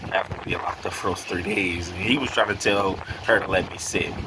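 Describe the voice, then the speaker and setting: There's noticeable background noise in this clip. Through it, a man talks. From North Carolina and Delaware. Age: 30s. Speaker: YouTuber telling his conversion story. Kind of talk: personal testimony monologue. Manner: casual, with many fillers. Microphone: poor audio quality.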